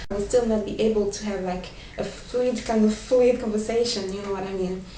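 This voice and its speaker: With audible room echo and noticeable background noise, a woman with a fairly high pitch speaks in a monotone, flat intonation. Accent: French. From France. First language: French. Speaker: vlogger, language learner. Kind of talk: casual vlog talk with tips. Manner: hesitant, many fillers.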